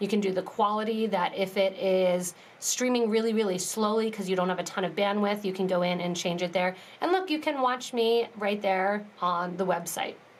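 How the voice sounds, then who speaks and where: Noticeable background noise under moderately paced speech with ordinary pitch variation. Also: woman, medium pitch for a woman. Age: 30s. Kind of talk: live tutorial. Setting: live stream.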